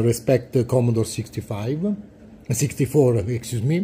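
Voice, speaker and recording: A man with an Italian accent has a dark, mellow, somewhat breathy voice and ordinary pitch variation, with light background noise behind him. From Italy. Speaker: retro computer collector and video creator; video creator. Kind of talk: show-and-tell tutorial. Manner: halting, many fillers. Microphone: phone near.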